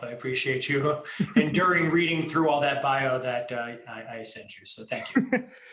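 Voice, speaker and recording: A man with an American accent and a fairly high pitch speaks with ordinary pitch variation, amid noticeable background noise and audible room echo. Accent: New York accent, mostly hidden. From New York, Long Island. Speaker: emergency medicine professor and researcher. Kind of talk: interview.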